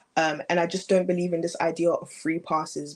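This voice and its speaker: A woman with a British accent speaks in a fairly low pitch. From England. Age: young. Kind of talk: interview answer.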